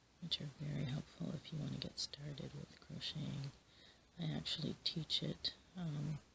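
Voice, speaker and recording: The voice is soft-spoken and calm, moving at a moderate pace. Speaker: crochet hobbyist and occasional teacher. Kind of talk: ASMR soft-spoken chat. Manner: soft-spoken, calm.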